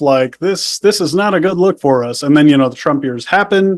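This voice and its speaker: A man is speaking. The recording is very clean with a silent background. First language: Spanish. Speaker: podcast guest, ex-cult member. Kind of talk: casual interview. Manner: casual, filler-heavy.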